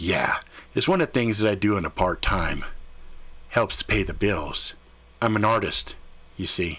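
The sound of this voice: A man puts on a gruff character voice with a fairly low pitch and ordinary pitch variation. He moves at a moderate pace, with long, frequent pauses.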